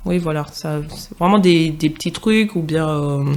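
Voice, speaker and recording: In a Parisian accent, a woman speaks at a fairly slow pace. Her pitch is very deep and low, with ordinary variation. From Martinique, moved to Paris region as teen. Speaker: podcast guest. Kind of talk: casual chat.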